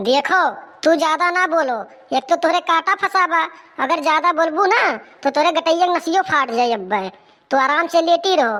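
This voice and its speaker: The speaker uses a cartoonish character voice at a moderate pace. Long pauses come often. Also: woman, extremely high pitch for a woman. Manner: blunt, gruff.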